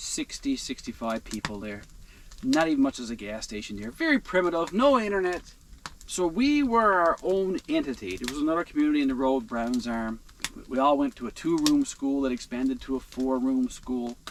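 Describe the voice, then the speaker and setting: With a strong Newfoundland accent, a man speaks. His pace is moderate. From Newfoundland, Canada. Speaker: outdoor vlogger. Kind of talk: casual vlog monologue. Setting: inside a heated tent in a blizzard.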